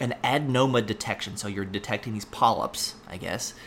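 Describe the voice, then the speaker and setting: Talking at a fairly quick pace, a man with an American accent has a fairly low pitch. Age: 30s. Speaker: pharmacy professor and podcast host. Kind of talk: solo educational podcast monologue. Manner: frequent fillers and hesitations.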